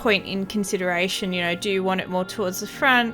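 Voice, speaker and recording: Music playing behind a woman's mid-range voice. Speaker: bead embroidery crafter. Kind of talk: tutorial voice-over narration. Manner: hesitant, casual, with filler words.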